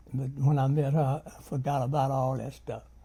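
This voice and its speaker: With a Memphis accent, a man speaks at a moderate pace and a fairly high pitch. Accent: Southern US (Memphis). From US South, Memphis, Tennessee. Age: 80s+. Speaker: army veteran. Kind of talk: personal life story interview.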